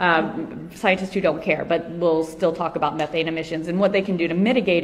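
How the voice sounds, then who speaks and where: Amid noticeable background noise, a woman talks at a fairly quick pace in a fairly low voice. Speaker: animal advocacy speaker. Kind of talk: conference talk. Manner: fast; hesitant with many fillers.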